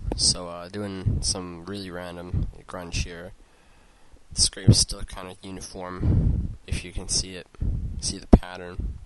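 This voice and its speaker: A quiet man's voice, very deep and low, at a fairly slow pace with fairly even intonation and big swings in loudness. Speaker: 3D modeling tutorial creator. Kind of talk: tutorial. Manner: quiet, low voice; casual, halting with fillers.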